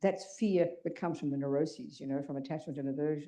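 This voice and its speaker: With an Australian accent and a dark, mellow tone, the voice moves at a very fast pace amid audible room echo. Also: woman. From Australia (Melbourne). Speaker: Buddhist nun teacher. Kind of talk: dharma talk to audience. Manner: animated.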